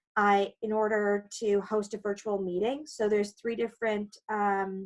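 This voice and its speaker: Here is a woman with an unremarkable speaking voice and a Canadian accent, pitched fairly high. She talks at a moderate pace. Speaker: condo lawyer. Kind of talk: webinar presentation.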